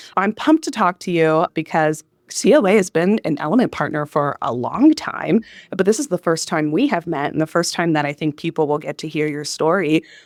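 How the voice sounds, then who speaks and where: Against a silent background on a very clean recording, a woman with a northern US accent and a fairly low pitch speaks at a fairly quick pace with ordinary pitch variation, the sound dry and close with no echo. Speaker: podcast host, customer success director. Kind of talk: live podcast interview. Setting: live at a conference.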